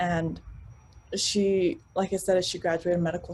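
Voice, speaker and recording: In a US East Coast accent, the somewhat breathy voice holds a monotone, flat intonation at a moderate pace. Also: woman. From Arlington, Virginia, US (immigrated as a child). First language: not English (immigrant family). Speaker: sales professional. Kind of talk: interview.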